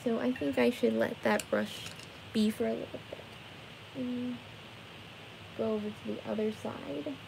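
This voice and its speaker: A woman speaks at a fairly slow pace, with long, frequent pauses. Noticeable background noise runs underneath. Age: 20s. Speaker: live streamer painting for viewers. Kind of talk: casual live stream chat with viewers. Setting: live stream from her bedroom. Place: home room. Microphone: phone near.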